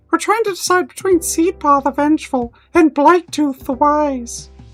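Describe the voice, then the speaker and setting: A put-on character voice is heard with faint music in the background. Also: man. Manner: polite, formal.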